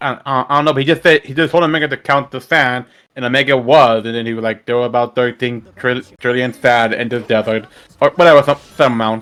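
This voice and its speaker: At a very fast pace, a man delivers his words at medium pitch with fairly even intonation in a very clean recording with a silent background. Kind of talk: casual gaming commentary.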